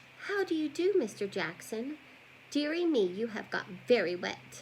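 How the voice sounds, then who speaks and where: In a put-on character voice, a female-sounding speaker talks at a moderate pace with a high pitch and very wide pitch swings over clear background noise. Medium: read story. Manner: prim, fussy.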